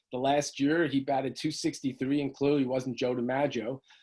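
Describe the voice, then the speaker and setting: With fairly even intonation, a man talks at a pitch that is fairly high. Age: 60s. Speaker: author. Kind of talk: interview. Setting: video call. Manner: halting.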